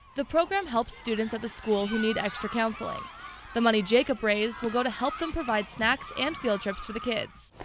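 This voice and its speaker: Through noticeable background noise, a woman with a fairly high pitch speaks at a fairly quick pace. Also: ordinary pitch variation. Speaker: television news anchor and reporter. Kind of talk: field reporter package voiceover.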